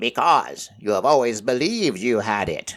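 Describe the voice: A man uses a put-on, croaky character voice at medium pitch. His pace is moderate.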